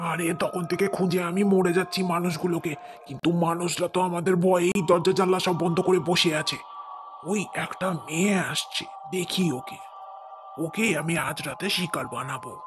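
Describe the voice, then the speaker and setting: A man performs a cartoonish character voice at a high pitch. Background noise is clearly audible. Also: moderate pace. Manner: nervous, easily led.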